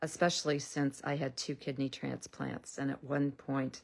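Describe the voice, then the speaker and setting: Very deep and low in pitch, a woman speaks at a moderate pace with monotone, flat intonation, recorded very cleanly against a silent background. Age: 60s. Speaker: health and lifestyle vlogger. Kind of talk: casual monologue to camera. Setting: social media video. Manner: conversational, with filler ums.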